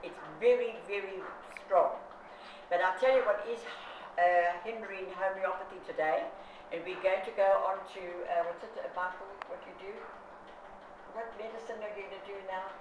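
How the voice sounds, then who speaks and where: A woman of medium pitch speaks at a moderate pace with fairly even intonation and long, frequent pauses, amid noticeable background noise and audible room echo. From South Africa. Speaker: consumer activist. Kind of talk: interview. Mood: indignant, strongly opinionated. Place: home room. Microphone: camera far.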